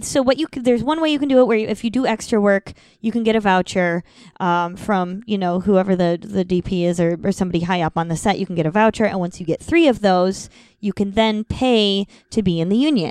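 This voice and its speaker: Lively intonation and a fairly quick pace in an Upper Midwestern accent. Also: woman. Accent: Upper Midwestern American. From Madison, Wisconsin. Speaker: actress and comedian. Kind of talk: casual chat. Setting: at her home.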